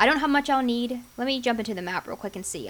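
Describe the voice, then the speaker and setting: Quiet and high-pitched, a woman speaks at a very fast pace with ordinary pitch variation. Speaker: gaming youtuber. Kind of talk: casual gameplay commentary.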